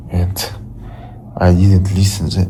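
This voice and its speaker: A man speaks at a very slow pace in a very deep, low pitch with monotone, flat intonation. Audible room echo surrounds his voice. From Russia (Ufa). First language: Russian. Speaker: vlogger. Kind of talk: casual vlog monologue. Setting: home, lying on the floor. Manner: halting, repetitive.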